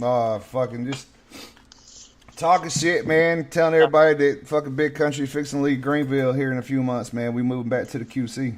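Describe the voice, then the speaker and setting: Speaking with a Southern accent, a man with a fairly high pitch talks at a fairly quick pace with fairly even intonation. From North Carolina. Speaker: podcast host. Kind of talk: casual chat. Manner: loud.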